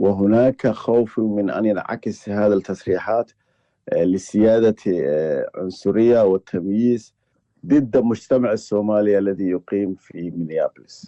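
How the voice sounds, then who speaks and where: A man's fairly low voice with a slight Egyptian accent, at a fairly slow pace and with ordinary pitch variation. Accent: slightly Egyptian-tinged Arabic. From Somaliland (Hargeisa). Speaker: journalist. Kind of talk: interview. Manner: halting, many fillers.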